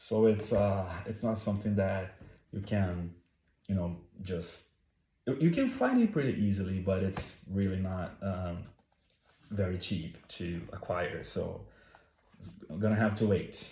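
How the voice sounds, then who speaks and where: Fairly low-pitched and somewhat breathy, a man speaks with a dark, mellow tone and fairly even intonation, leaving long, frequent pauses. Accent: Brazilian. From Brazil. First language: Portuguese. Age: 30s. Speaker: game collector. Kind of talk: casual talk to camera. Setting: home, background noise.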